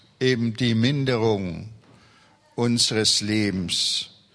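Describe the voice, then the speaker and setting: Very slow speech with ordinary pitch variation over noticeable background noise. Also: man. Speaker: pastor. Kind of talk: sermon.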